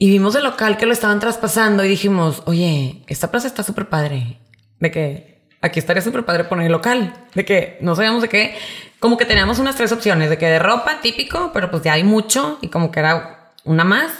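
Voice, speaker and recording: Speaking with lively intonation, a woman with a northern Mexican accent has a medium-pitched voice. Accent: northern Mexican (Monterrey) Spanish. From Monterrey, northern Mexico. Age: 30s. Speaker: entrepreneur, party supplies shop owner. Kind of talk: interview conversation.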